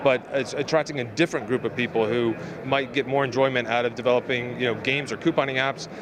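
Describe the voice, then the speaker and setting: Very fast speech with fairly even intonation over noticeable background noise. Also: man. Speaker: podcast host. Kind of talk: interview answer.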